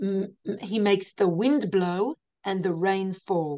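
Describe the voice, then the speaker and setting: A woman speaks in an Australian accent. Her pace is very slow. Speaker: lecturer. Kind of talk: lecture. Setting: video call. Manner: halting.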